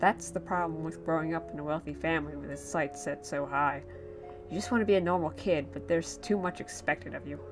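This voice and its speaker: Over background music, a woman talks at a fairly quick pace. Her very deep, low voice makes very wide pitch swings. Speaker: creepypasta narrator. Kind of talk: horror story narration. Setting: home recording, muffled audio. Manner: slurred.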